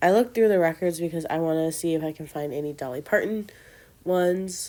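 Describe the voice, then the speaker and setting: A woman speaks at a very fast pace with a fairly low pitch and a dark, mellow tone. Her pitch variation is ordinary, and the recording is very clean with a silent background. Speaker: doll collector vlogger. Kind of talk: casual vlog narration. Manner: casual, hesitant.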